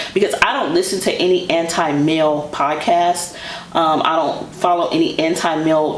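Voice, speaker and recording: Over noticeable background noise and audible room echo, a woman speaks in an animated tone at a moderate pace. Her loudness stays very even. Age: 40s. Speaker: fashion YouTuber. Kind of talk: casual chat.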